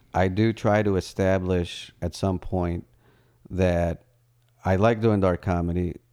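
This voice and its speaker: Very slowly, a man with an American accent speaks in a fairly low, dark, mellow voice with flat, monotone intonation. The recording is very clean, with a silent background. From US, Colombian roots. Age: 30s. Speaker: stand-up comedian. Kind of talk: casual chat.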